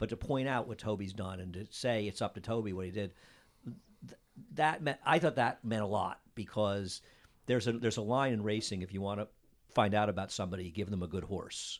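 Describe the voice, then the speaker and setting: A man talks at a fairly quick pace in a normal speaking voice, fairly low in pitch, with an American accent on a very clean recording with a silent background. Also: ordinary pitch variation. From upstate New York (Saratoga). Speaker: podcast host. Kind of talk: interview.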